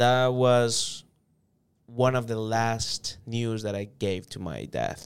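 In a Spanish accent, a man talks at a very slow pace with a medium pitch and fairly even intonation. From El Salvador. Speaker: sales manager. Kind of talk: interview.

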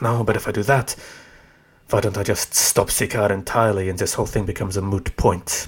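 A man at a moderate pace, fairly low in pitch and somewhat breathy, with fairly even intonation and long, frequent pauses. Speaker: fictional tempter character, voice actor. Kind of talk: scripted audio drama dialogue. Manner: sardonic, mocking, smug.

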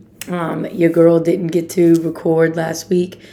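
A woman's fairly low-pitched, monotone voice with flat intonation, over noticeable background noise. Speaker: podcast host. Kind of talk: motivational podcast monologue.

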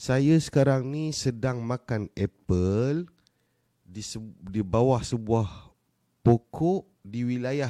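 In a very clean recording with a silent background, a man with a medium pitch speaks at a very slow pace, his intonation lively and his loudness swinging widely. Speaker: live stream host, entrepreneur coach. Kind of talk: casual live stream chat. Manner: animated.

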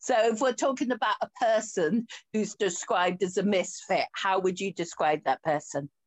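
In a Yorkshire accent, a woman speaks at a medium pitch with lively intonation and very even loudness. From Yorkshire, northern England. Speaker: podcast host and coach. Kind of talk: casual interview chat. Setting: video call.

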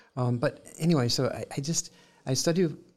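A man with a Southern US accent speaks with lively intonation and a somewhat breathy sound. The recording is very clean, with a silent background. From US South, Columbus, Georgia. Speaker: painter. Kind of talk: interview. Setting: studio.

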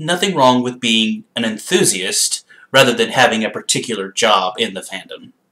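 At a moderate pace, a man with a medium pitch speaks in a bright, sharp tone with lively intonation. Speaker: podcast host. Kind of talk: casual interview.

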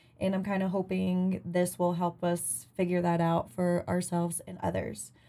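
A woman speaks with an American accent at a fairly low pitch. Her tone is dark and mellow, with monotone, flat intonation and a moderate pace. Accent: Appalachian twang, slight and intermittent. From Virginia coal mining town, US. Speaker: podcast host. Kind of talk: casual chat.

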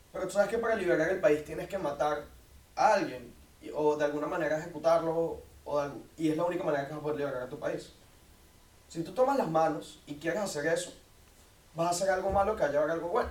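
A man with a high pitch talks at a very fast pace, with ordinary pitch variation. Long, frequent pauses break it up, and room echo is audible. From Venezuela, Caracas. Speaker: university student, debater. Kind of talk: debate.

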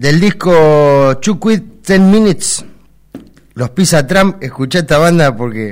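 A voice with a Rioplatense accent. The intonation is lively. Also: man. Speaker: radio host. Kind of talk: casual chat.

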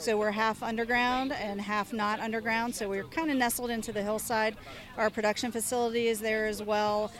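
This woman has an unremarkable speaking voice, pitched fairly high. She talks at a fairly quick pace with fairly even intonation. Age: young. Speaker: winery owner and winemaker. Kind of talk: interview. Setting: outdoor wine festival.

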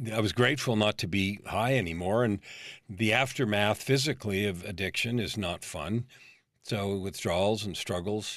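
An ordinary speaking voice from a man at fairly low pitch, ordinary pitch variation, very clean recording, silent background. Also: moderate pace. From California, San Francisco Bay Area. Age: 50s. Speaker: life coach. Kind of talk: interview.

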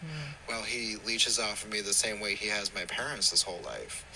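This male speaker has a medium pitch and ordinary pitch variation, with noticeable background noise behind him. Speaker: listener sending voice note. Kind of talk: voice message.

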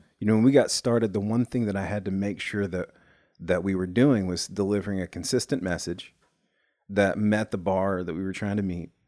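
A man speaks at a fairly quick pace in a dark, mellow tone and fairly low pitch. His intonation is fairly even, and the recording is very clean with a silent background. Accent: American. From US South, Nashville. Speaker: executive producer and musician. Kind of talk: casual chat.

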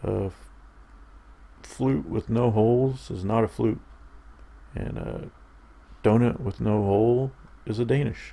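A man with a fairly low, dark, mellow voice speaks at a fairly slow pace with ordinary pitch variation and long, frequent pauses. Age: 30s. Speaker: podcast host. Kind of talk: casual solo monologue. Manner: halting.

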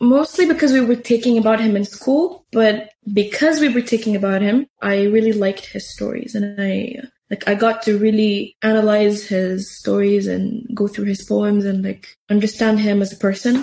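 A woman with an Arabic accent speaks at a moderate pace and a fairly high pitch, with hardly any pauses and ordinary pitch variation. Her tone is dark, mellow and somewhat breathy. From Syria. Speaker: youth program participant. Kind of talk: interview conversation. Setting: in-person recording at a community center.

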